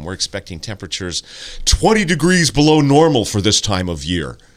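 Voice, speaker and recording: In a booming, put-on character voice, a man speaks at a fairly quick pace with a fairly low pitch and very wide pitch swings. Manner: emphatic radio announcer delivery.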